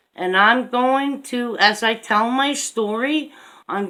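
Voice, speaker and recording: A woman with a Newfoundland accent speaks in a bright, sharp tone with ordinary pitch variation. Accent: Newfoundland twang. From Newfoundland, Canada. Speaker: vlogger. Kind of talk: personal story. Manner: rambling, digressive.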